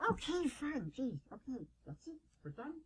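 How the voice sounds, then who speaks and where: High pitch and a moderate pace in a put-on character voice. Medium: solo performance. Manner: cheeky, teasing.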